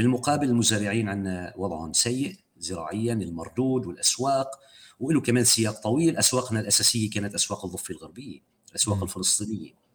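A man with an unremarkable speaking voice, fairly low in pitch, talks at a fairly quick pace with lively intonation. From Golan Heights. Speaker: human rights activist. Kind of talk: interview. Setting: podcast.

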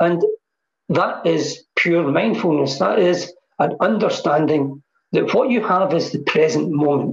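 A man's high voice with a Scottish accent, at a fairly slow pace, with very even loudness and ordinary pitch variation. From Scotland. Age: 60s. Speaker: mindfulness teacher. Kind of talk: casual chat.

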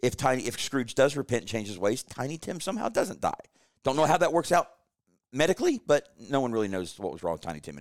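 Talking very fast at medium pitch, a man shows vocal fry, very wide pitch swings and big swings in loudness. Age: 40s. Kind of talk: casual chat.

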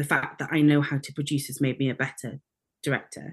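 A woman speaks with a Welsh accent. Her pitch is very deep and low. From Wales. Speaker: theatre maker and director. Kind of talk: casual interview chat.

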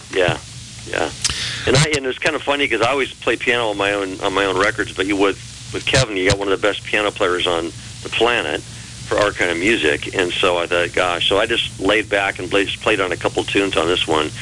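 Fairly quick speech with lively intonation against noticeable background noise. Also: man, fairly low pitch for a man. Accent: American. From Texas. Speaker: blues musician and songwriter. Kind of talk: interview. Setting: phone call.

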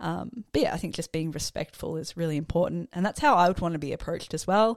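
Here is a fairly quick speaker with an Australian accent. The sound is dry and close, with no echo. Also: woman. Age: 20s. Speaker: student. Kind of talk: interview answers.

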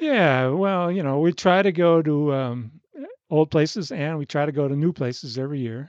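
An ordinary speaking voice at a moderate pace. The pitch variation is ordinary. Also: man, fairly high pitch for a man. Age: 60s. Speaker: retired sailor, podcast guest. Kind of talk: casual interview chat.

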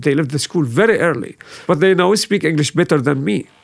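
Speaking at a fairly quick pace, a man with an Arabic accent uses a fairly high pitch and lively intonation. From Syria. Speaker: refugee resettlement worker. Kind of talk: casual chat.

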